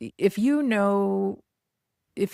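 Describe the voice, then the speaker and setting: In a very clean recording with a silent background and a dry, close sound with no echo, a woman has a normal speaking voice at medium pitch with ordinary pitch variation. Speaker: real estate business coach. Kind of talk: podcast monologue. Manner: many filler words.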